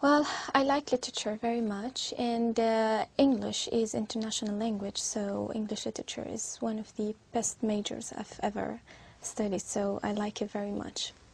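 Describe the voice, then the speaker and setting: With an Arabic accent, the speaker is somewhat breathy, keeping a moderate pace and fairly even intonation over a quiet background. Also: woman, fairly high pitch for a woman. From Syria. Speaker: IELTS test candidate. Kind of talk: speaking exam interview. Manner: halting, many fillers.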